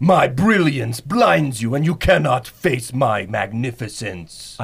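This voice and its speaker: A man speaks in a put-on character voice at a medium pitch and a fairly slow pace. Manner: boastful, grandiose.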